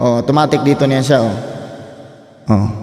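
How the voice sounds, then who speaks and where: Someone talks at a moderate pace amid noticeable background noise and audible room echo. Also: man. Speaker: vlogger and amateur singer. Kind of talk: casual gear tour vlog. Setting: bedroom home studio.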